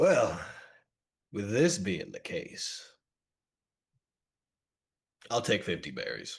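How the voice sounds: Putting on a character voice, a man speaks very slowly at a low pitch, with vocal fry and very wide pitch swings.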